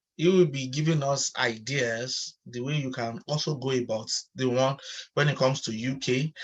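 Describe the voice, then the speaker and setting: Somewhat breathy male voice, intonation fairly even. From Nigeria. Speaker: online chat host and researcher. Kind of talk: online panel chat moderation.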